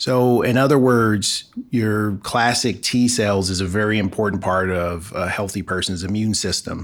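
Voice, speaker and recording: A man with an ordinary speaking voice talks at a moderate pace with hardly any pauses, in a fairly low pitch and fairly even intonation. The recording is very clean, with a silent background. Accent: American. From Los Angeles, South Central. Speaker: physician and biotech entrepreneur. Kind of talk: interview.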